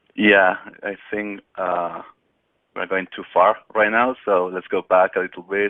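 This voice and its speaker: A man with a Spanish accent speaks in a fairly low, monotone, flat voice, leaving long, frequent pauses. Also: fairly slow pace. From Spain. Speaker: technical expert, solutions engineer. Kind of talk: webinar presentation. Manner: hesitant, many fillers.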